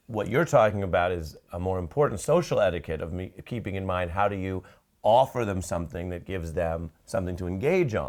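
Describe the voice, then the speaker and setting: Over a silent background on a very clean recording, a man with a very deep, low pitch and ordinary pitch variation speaks at a fairly quick pace. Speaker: TV news anchor. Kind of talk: interviewer questions.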